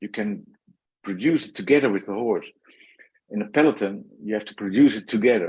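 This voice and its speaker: Lively intonation marks this man, who speaks with a Dutch accent. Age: 60s. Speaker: former pro cyclist and consultant. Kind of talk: podcast interview. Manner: halting.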